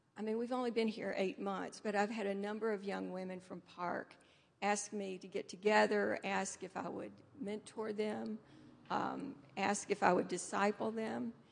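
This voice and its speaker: A woman with an ordinary speaking voice talks at medium pitch with fairly even intonation in an American accent. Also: moderate pace. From US South (Nashville, Tennessee). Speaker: church volunteer and Bible teacher. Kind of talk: panel discussion.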